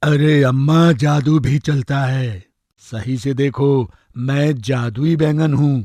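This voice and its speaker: A man puts on a cartoonish character voice at a medium pitch. He speaks at a very slow pace. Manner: cheeky, boastful.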